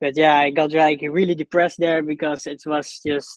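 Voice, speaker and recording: A man speaks at a fairly high pitch with monotone, flat intonation. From Netherlands (North Holland, near Alkmaar). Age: 20s. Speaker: ecommerce entrepreneur. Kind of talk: interview. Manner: halting, many fillers.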